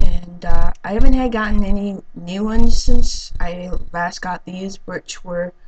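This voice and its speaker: A woman talks at a fairly slow pace with ordinary pitch variation and big swings in loudness. Noticeable background noise is present. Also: medium pitch for a woman, hardly any pauses. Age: 20s. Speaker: vlogger, hard of hearing. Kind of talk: casual vlog monologue. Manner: halting, many fillers.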